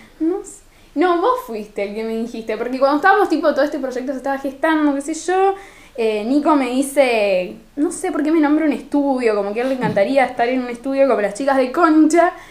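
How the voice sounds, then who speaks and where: Over noticeable background noise, a woman with a high voice talks fairly quickly and with lively intonation. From Argentina, Rosario. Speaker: podcast co-host. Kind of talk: casual chat.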